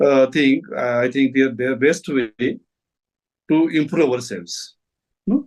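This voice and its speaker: A man with a Marathi accent at medium pitch, ordinary pitch variation, a very slow pace, and long, frequent pauses. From India, Maharashtra. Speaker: retired English teacher. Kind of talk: casual chat.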